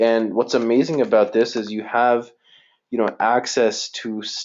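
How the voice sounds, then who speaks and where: A man talks at a very slow pace and a medium pitch. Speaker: online business coach. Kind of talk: live coaching webinar. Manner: casual, many fillers.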